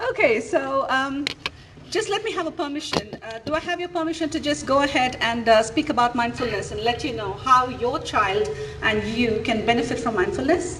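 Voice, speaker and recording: Her high voice swinging very widely in pitch, a woman speaks at a moderate pace amid noticeable background noise and audible room echo. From India. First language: Indian language (not English). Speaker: mindfulness coach. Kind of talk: interactive talk to parents. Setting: auditorium with audience. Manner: animated.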